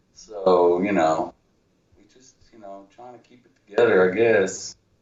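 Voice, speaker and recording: A man with an American accent talks at a fairly slow pace in a very deep, low pitch. His intonation stays fairly even while his loudness swings widely. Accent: Texas accent, some Jersey. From New Jersey, Union City. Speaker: writer and musician. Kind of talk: casual chat.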